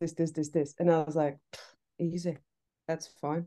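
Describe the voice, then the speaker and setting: A dark, mellow tone in a Czech accent. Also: woman. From Czech Republic. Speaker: TV assistant director. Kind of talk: casual interview chat. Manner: hesitant, many fillers.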